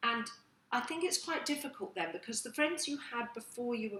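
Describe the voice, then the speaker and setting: Noticeable background noise surrounds a woman whose fairly high voice moves at a fairly quick pace. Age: middle-aged. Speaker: online magazine host. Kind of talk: casual chat.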